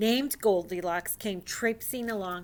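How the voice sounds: A natural reading voice, its pitch shifting normally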